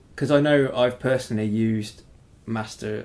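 The speaker talks at a fairly quick pace with an English accent. Pitch variation is ordinary. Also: man. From Britain. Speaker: podcast host. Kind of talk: interview.

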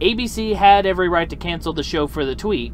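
Light background noise sits behind a man's voice. He speaks at a moderate pace, and the sound is dry with no echo. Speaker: opinion vlogger. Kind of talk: opinion commentary. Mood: argumentative, confident. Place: car. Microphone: phone near.

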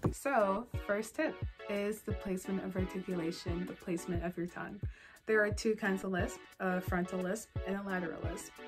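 Over music in the background, a woman speaks at a moderate pace with ordinary pitch variation. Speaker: vlogger sharing speech tips. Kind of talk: casual talk to camera. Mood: friendly, encouraging.

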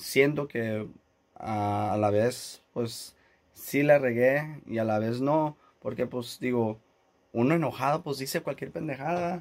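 Over a quiet background, a man talks very slowly with ordinary pitch variation. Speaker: YouTuber. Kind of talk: casual vlog. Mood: annoyed, recounting airline dispute. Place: studio. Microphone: phone near.

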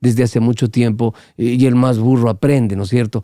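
The tone is dark and mellow, at a fairly slow pace. The sound is dry with no echo against a quiet background. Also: man. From Guayaquil, Ecuador. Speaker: veteran radio broadcaster; podcast guest. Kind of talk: casual chat. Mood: humorous, relaxed storytelling. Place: studio. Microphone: studio mic.

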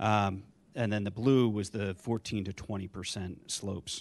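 A plain, everyday voice from a man, fairly low-pitched with fairly even intonation. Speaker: civil engineer. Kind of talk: zoning hearing testimony. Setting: public board hearing.

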